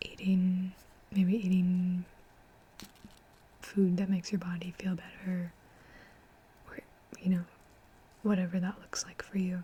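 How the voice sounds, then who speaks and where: Soft-spoken and fairly slow, the speaker leaves long, frequent pauses. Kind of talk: ASMR soft-spoken ramble; casual talk to camera, reflective. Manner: soft-spoken, conversational.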